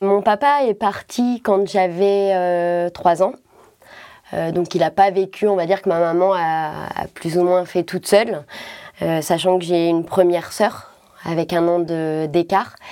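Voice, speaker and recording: Dark and mellow in tone, a woman speaks at a very slow pace with long, frequent pauses. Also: fairly low pitch for a woman, fairly even intonation. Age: 30s. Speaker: cystic fibrosis patient. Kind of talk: testimony.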